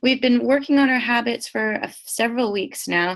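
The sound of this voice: A woman speaks at a fairly high pitch with lively intonation. Her voice is nasal, with vocal fry.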